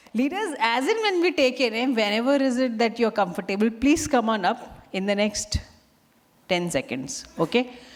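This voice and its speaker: At a moderate pace, a woman with a fairly high pitch talks in an animated tone with lively intonation and very even loudness over noticeable background noise. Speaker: event emcee. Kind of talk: event hosting. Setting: stage with audience.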